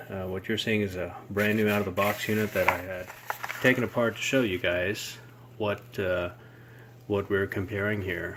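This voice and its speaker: A man speaks in a fairly low pitch with monotone, flat intonation over noticeable background noise. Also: moderate pace. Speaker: gearbox rebuilder. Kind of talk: casual product review to camera.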